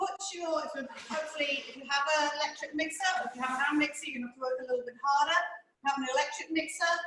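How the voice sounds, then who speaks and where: A woman speaks very fast in a high, bright, sharp voice, raised and projected, with fairly even intonation. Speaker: cooking teacher. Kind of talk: tutorial.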